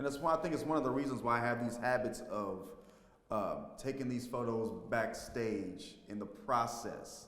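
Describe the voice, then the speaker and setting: A man with an American accent, ordinary pitch variation, audible room echo and noticeable background noise. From Texas, Fort Worth. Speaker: stage actor and filmmaker. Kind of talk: interview.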